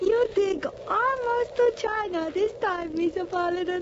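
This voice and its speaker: In a put-on character voice, a woman talks at a fairly slow pace. Her pitch is extremely high. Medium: old radio play. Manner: broken English, dropped articles.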